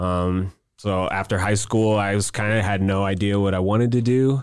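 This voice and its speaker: A man with an American accent talks in a fairly low pitch and an ordinary speaking voice. His intonation is fairly even, and the recording is very clean with a silent background. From St. Louis, Missouri. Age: 30s. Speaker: chef and restaurant founder. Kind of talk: casual chat. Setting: studio.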